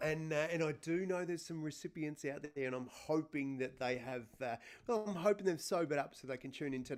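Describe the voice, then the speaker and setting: Lively in intonation and fairly quick in pace, a man with an Australian accent speaks at a fairly high pitch. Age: 40s. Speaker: podcast co-host, Paralympian. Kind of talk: casual chat. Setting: live stream. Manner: animated. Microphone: sound problems at start of show.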